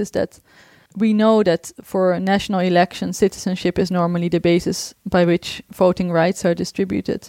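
A woman with a Dutch accent, dark and mellow in tone, monotone and flat, at a fairly quick pace, in a dry, close, very clean recording with no echo and a silent background. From Netherlands. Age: 30s. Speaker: researcher. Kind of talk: interview.

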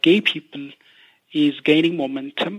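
A man's voice, an ordinary speaking voice, fairly high-pitched and moderately paced. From Ethiopia. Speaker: human rights researcher. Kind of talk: interview. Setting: phone call.

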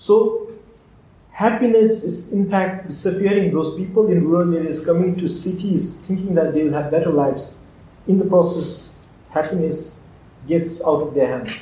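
The voice carries fairly even intonation, with audible room echo around it. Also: man, high pitch for a man, moderate pace. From Bhutan. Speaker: agricultural researcher. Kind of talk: live talk interview. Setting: live event with audience.

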